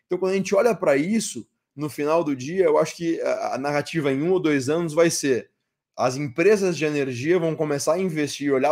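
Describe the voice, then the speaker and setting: Recorded very cleanly over a silent background, a man with a fairly high pitch speaks at a fairly quick pace with ordinary pitch variation. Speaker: crypto mining industry speaker. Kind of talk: conference talk. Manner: fast; hesitant, many fillers.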